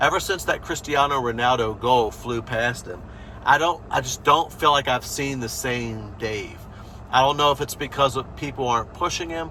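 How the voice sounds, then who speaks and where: A man speaks at medium pitch with an American accent and an unremarkable speaking voice. He moves at a moderate pace with ordinary pitch variation. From USA. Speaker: football fan channel host. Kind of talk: opinion vlog, season review. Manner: casual, many fillers.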